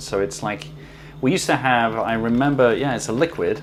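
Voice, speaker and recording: A voice with a British accent over noticeable background noise. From UK. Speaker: food YouTuber. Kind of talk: unboxing video. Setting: kitchen.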